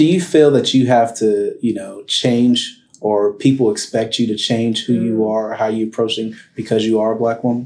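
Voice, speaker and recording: A man with an American accent has a normal speaking voice at medium pitch, moving at a moderate pace with fairly even intonation. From Arlington, Texas. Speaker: podcast host, attorney. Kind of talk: interview.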